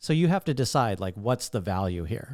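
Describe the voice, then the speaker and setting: Soft-spoken and medium in pitch, a man talks in a dark, mellow tone on a very clean recording with a silent background. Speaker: stand-up comedian, podcaster. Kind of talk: solo podcast monologue. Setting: talking to camera at home.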